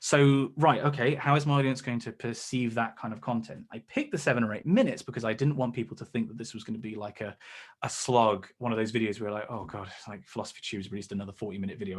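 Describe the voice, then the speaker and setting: In an English accent, the speaker races along at a very fast pace with ordinary pitch variation and big swings in loudness, on a very clean recording with a silent background. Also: man. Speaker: science communicator, YouTuber. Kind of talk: seminar talk. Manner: hesitant fillers.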